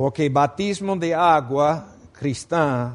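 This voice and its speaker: A man with a non-native accent, at a very slow pace. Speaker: preacher. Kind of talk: sermon.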